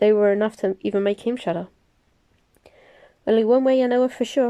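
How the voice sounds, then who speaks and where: A woman with a dark, mellow tone speaks very fast in a dry, close sound with no echo and a quiet background. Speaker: amateur audiobook reader, crafting vlogger. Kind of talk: audiobook reading of a novel chapter.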